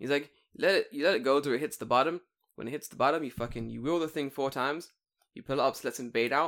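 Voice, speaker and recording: A man's fairly high voice at a very fast pace, with big swings in loudness, on a very clean recording with a silent background. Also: ordinary pitch variation. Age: 20s. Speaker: podcast co-host. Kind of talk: casual chat.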